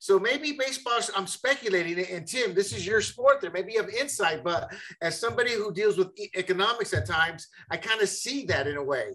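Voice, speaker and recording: With hardly any pauses, a man with a high pitch talks at a fairly quick pace in a raised, projected voice with a bright, sharp tone and lively intonation. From Panama. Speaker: co-host.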